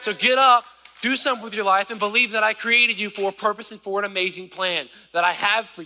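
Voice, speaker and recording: A man's raised, projected voice, high-pitched and very fast, with fairly even intonation, big swings in loudness and noticeable background noise. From US South, rural southern Virginia. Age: 20s. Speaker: preacher. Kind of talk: sermon. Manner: casual, conversational.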